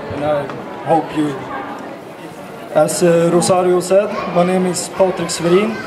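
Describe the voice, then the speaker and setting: With crowd noise in the background and audible room echo, a man speaks high-pitched and fairly slowly, his fairly even intonation broken by long, frequent pauses. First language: Swedish. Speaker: political party member. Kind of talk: political speech. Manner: reading from paper.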